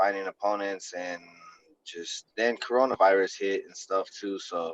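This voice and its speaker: An American accent marks this man's unremarkable speaking voice. His pitch is fairly low, his intonation fairly even, and his pace moderate. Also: dry, close sound with no echo. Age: 30s. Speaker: MMA fighter. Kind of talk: casual chat.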